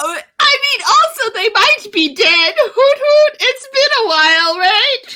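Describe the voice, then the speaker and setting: Someone puts on a character voice at an extremely high pitch. The delivery moves at a fairly slow pace. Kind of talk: tabletop roleplay in character. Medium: actual play. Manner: tags sentences with "hoot hoot".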